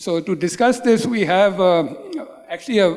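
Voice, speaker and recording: A man's high-pitched voice at a moderate pace, ordinary pitch variation, noticeable background noise. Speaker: panel moderator. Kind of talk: panel introduction. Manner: standing while speaking.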